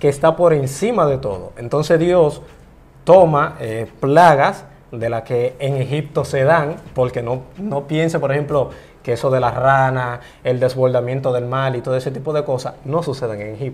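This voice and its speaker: A man talks at a moderate pace in a medium pitch, somewhat breathy, with ordinary pitch variation. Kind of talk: interview.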